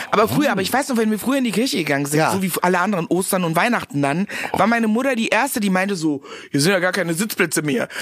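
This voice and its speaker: Over noticeable background noise, a woman at a medium pitch talks at a very fast pace with an animated tone, lively intonation and very even loudness. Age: 40s. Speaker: actress and comedian. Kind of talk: casual chat.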